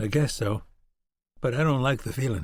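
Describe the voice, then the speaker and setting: The voice is a raspy put-on character voice. It moves at a moderate pace with ordinary pitch variation. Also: man. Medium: read story.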